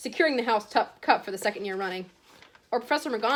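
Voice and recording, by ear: This is someone reading aloud. The voice stays natural throughout.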